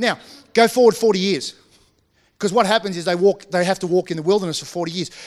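A man with an Australian accent. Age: 40s. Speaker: pastor. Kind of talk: sermon. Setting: church.

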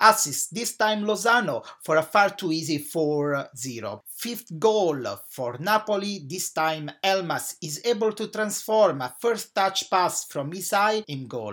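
In an Italian accent, a high-pitched man speaks at a fairly slow pace with lively intonation. The recording is very clean, the background silent. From Italy, Naples. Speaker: football podcaster. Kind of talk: match analysis podcast. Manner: hesitant, many filler uhs.

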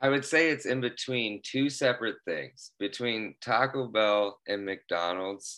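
A man with a Midwestern US accent, medium pitch, ordinary pitch variation, a bright, sharp tone and a fairly slow pace, on a very clean recording with a silent background. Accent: US Midwest. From Central Illinois. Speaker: guest fast food fan. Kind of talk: casual chat.

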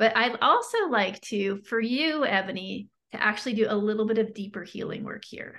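A woman talks in a normal speaking voice with a fairly high pitch. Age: 40s. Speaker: breakthrough coach and therapist. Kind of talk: guided meditation. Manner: slow, soothing, calm, hypnotic, repetitive guiding cadence.

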